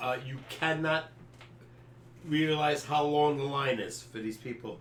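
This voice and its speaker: With an American accent, a man talks at a fairly slow pace in a fairly high voice with fairly even intonation, over noticeable background noise and audible room echo. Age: 70s. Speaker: sports podcast co-host. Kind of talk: casual chat. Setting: live stream.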